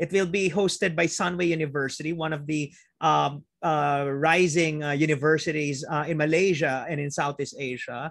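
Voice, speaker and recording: Against a quiet background, a man speaks at a moderate pace with a fairly high pitch in a dry sound with no echo. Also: fairly even intonation. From Philippines. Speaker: physician and planetary health researcher. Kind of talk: webinar lecture. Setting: video call. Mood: warm, grateful. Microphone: video call.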